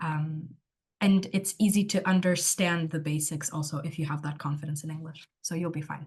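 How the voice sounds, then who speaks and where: A woman speaks at a moderate pace in a very deep, low voice that is somewhat breathy, her intonation fairly even. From Portugal. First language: Portuguese. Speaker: university student. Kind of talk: online Q&A session.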